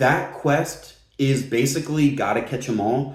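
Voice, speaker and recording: The speaker has an animated tone, and audible room echo surrounds the voice. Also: man. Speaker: gaming video creator. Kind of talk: casual commentary video.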